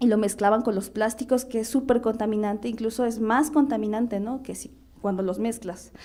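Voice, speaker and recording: A woman's fairly high, dark, mellow voice at a fairly quick pace. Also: fairly even intonation. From central Mexico, Hñähñu (Otomí) village. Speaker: artist. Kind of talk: panel discussion. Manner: halting, many fillers and repetitions.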